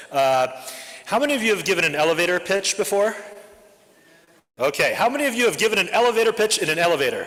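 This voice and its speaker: The speech runs at a very fast pace yet has long, frequent pauses, with very wide pitch swings and very even loudness. Noticeable background noise sits behind it. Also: man, high pitch for a man. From Japan, then Oregon from middle school. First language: Japanese. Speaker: school network head, educator. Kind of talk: member self-introduction at club meeting. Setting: club meeting with live audience. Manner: casual, with frequent filler words.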